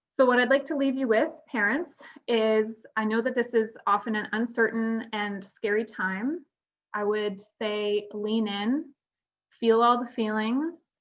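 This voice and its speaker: A woman with a plain, everyday voice speaks at a fairly slow pace. Her pitch is fairly high, with ordinary variation. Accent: Canadian. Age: 30s. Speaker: retinoblastoma survivor, panel speaker. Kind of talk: conference panel talk. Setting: virtual conference video call.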